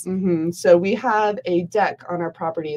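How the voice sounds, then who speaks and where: With a General American accent, a woman speaks at a medium pitch and a fairly slow pace over noticeable background noise. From Prescott, Arizona. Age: 20s. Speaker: wedding and event planner. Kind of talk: interview answer. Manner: upbeat.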